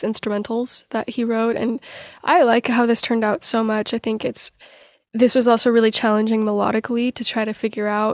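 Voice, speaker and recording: A woman with an American accent talks at a fairly quick pace in a normal speaking voice, fairly high in pitch and with fairly even intonation. The recording is very clean with a silent background and a dry, close sound with no echo. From US Pacific Northwest (Portland). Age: 20s. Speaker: singer-songwriter. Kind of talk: interview conversation.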